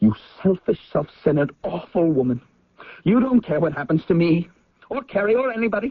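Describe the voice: In a put-on character voice, a man speaks high-pitched at a moderate pace, with big pitch swings and a slightly husky edge.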